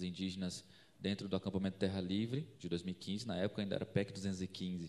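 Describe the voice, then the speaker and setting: This man has a very deep, low pitch and talks at a fairly quick pace. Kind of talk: panel talk at a conference.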